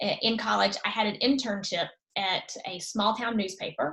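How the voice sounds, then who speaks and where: A bright, sharp tone in a Southern US accent, with ordinary pitch variation. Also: woman. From eastern North Carolina. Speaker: political strategist. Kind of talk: interview answer.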